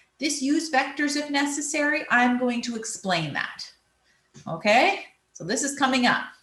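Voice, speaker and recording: In a room with audible echo, a woman speaks at a high pitch and a moderate pace with lively intonation. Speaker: physics teacher. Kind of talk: recorded lesson. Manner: explanatory, measured.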